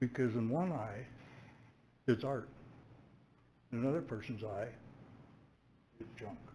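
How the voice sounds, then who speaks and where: Somewhat breathy and dark, mellow in tone, a man speaks at a moderate pace with long, frequent pauses and audible room echo. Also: medium pitch for a man, ordinary pitch variation. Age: 70s. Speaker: resident making public comment. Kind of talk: public comment at council meeting. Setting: council chamber.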